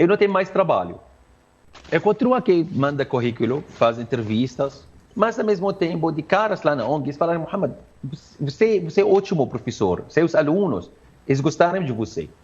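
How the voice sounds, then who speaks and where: Using very wide pitch swings, a man with an Arabic accent speaks at a moderate pace in a fairly high voice. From Syria. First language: Arabic (speaking Portuguese). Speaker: Arabic language teacher. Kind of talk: interview. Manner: halting.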